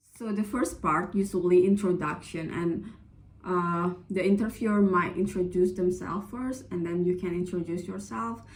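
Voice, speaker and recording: There is audible room echo as a woman with an Indonesian accent speaks at a moderate pace and medium pitch, somewhat breathy, with ordinary pitch variation. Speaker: vlogger, scholarship applicant. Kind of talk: casual advice vlog. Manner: hesitant, many fillers.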